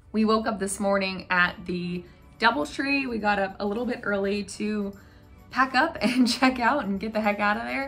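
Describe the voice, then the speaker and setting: The delivery moves at a moderate pace with ordinary pitch variation. Music can be heard in the background. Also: woman, medium pitch for a woman. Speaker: travel vlogger. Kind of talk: casual talk to camera.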